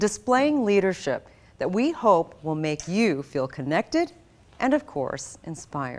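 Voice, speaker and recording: A woman's fairly low voice at a moderate pace, full of very wide pitch swings. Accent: General American. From US, raised from age seven; also Philippines. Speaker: broadcast journalist, event host. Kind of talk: scripted event hosting. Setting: virtual conference broadcast. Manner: formal.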